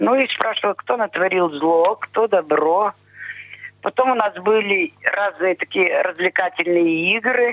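Against noticeable background noise, a woman at a medium pitch speaks at a very slow pace, with lively intonation and very even loudness. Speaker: blind pensioner, interviewee. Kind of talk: interview. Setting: phone call.

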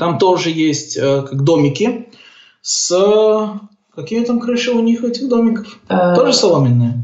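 With audible room echo, a man speaks at a fairly slow pace, his pitch swinging very widely. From Belarus (Gomel). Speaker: orientalist, software developer. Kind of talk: casual interview. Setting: Skype call.

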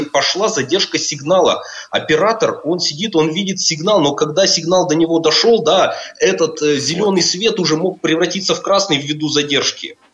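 A man speaks at a moderate pace with a high pitch and ordinary pitch variation. Noticeable background noise can be heard. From Russia, Perm. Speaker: project manager. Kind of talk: radio interview. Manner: halting, many filler sounds.

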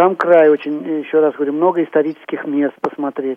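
A man with a plain, everyday voice speaks at a moderate pace, his pitch fairly high. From Tula, central Russia. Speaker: chairman of regional society of the blind. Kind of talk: radio interview.

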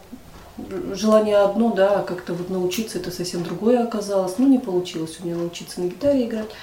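A woman talks fairly quickly at a medium pitch with ordinary pitch variation, her voice carrying audible room echo over noticeable background noise. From Russia, Chelyabinsk. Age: 50s. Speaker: head of a local society for the blind. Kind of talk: interview.

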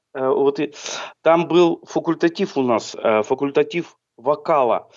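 Here a man speaks at a fairly high pitch. His pace is very slow. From Southern Urals, Chelyabinsk. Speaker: blind singer and musician. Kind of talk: radio interview.

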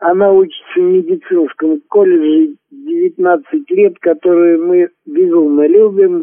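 A man talks at a very slow pace. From Lipetsk region, Russia. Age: 60s. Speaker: amateur poet, retired welder. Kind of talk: personal introduction; poetry reading.

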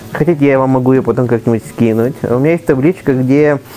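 Backed by music, a man with a fairly high pitch speaks at a very fast pace. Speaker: blind traveler and blogger. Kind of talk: casual chat.

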